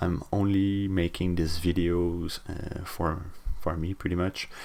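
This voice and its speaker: Very deep and low in pitch, a man with a French Canadian accent speaks at a very slow pace. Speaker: hobbyist game developer. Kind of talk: casual devlog talk to camera. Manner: rambling, hesitant with fillers.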